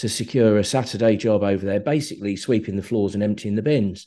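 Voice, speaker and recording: Here a man speaks with a southern English accent. He talks at a fairly quick pace with ordinary pitch variation. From southern England (Slough). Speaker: film producer. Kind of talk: interview, casual conversation. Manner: hesitant, with many fillers.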